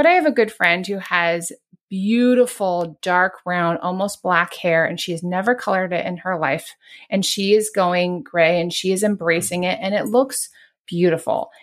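A woman's unremarkable speaking voice of medium pitch, with ordinary pitch variation and a moderate pace, on a very clean recording with a silent background. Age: 40s. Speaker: podcast host, toxin-free living advocate. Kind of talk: casual interview.

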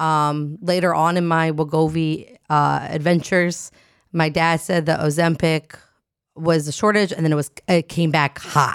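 Delivered in an American accent, the speech has monotone, flat intonation and very even loudness. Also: woman, very deep, low pitch for a woman, fairly slow pace. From New Jersey. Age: 30s. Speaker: comedian. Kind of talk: casual chat.

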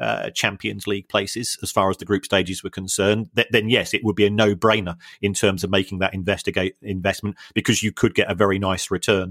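Recorded very cleanly with a silent background, the voice has a London accent and a dry, close sound with no echo. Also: man. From South London. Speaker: football finance academic, co-host. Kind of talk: casual podcast chat. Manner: halting, many repetitions.

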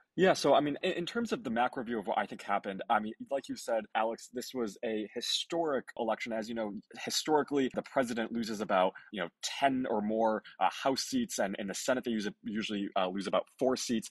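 A man at a medium pitch, with ordinary pitch variation and a normal speaking voice. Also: fairly quick pace. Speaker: youth voter organizer. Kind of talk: casual political podcast interview.

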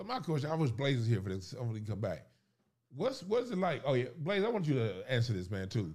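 Talking at a very fast pace, a man with a medium pitch sounds somewhat breathy and makes very wide pitch swings. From South Central Los Angeles. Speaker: comedian. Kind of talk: casual chat.

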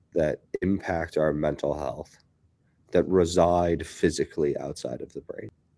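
A man speaks with vocal fry and a dark, mellow tone. His loudness swings widely. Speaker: neuroscientist. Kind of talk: casual chat.

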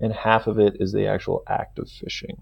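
A man with an American accent and an unremarkable speaking voice. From US West Coast, California Bay Area. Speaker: fly fishing expert. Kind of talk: podcast interview.

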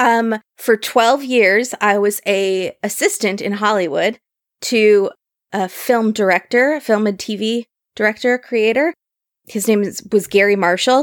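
A woman's normal speaking voice, fairly high in pitch with ordinary pitch variation, at a fairly slow pace, in a dry, close sound with no echo. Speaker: podcast host. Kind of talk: casual chat.

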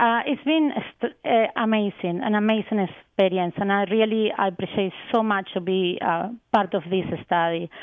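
In a Spanish accent, a woman talks at a moderate pace and medium pitch, with ordinary pitch variation and very even loudness. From Argentina. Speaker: research scientist. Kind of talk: radio interview. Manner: hesitant, many fillers.

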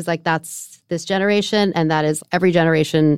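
A woman with a plain, everyday voice, fairly low-pitched, with fairly even intonation at a moderate pace, in a very clean recording with a silent background and a dry, close sound with no echo. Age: 40s. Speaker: podcast host. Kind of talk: interview podcast.

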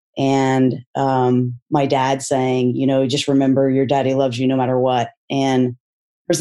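A woman speaks at a fairly slow pace with an American accent. Her pitch is very deep and low, and her tone is dark and mellow. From Texas. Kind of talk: interview testimony.

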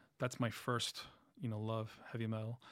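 A man at a medium pitch and fairly slow pace, with dry, close sound and no echo. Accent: New York. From Queens, New York City. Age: 40s. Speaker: music journalist and musician. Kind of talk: casual interview chat.

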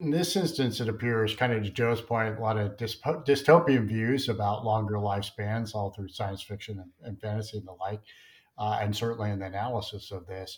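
A man speaks at a fairly quick pace in a somewhat breathy voice with ordinary pitch variation. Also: fairly low pitch for a man. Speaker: podcast co-host. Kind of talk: interview.

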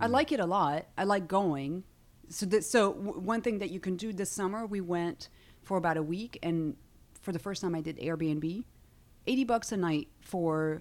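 Speaking with a French accent, a woman at medium pitch uses lively intonation. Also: moderate pace. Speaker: stand-up comedian. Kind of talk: casual chat. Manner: animated.

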